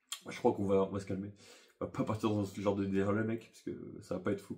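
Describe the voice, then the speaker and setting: This man speaks very fast, his pitch fairly low. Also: quiet background. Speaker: YouTuber. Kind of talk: casual storytelling monologue. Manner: animated.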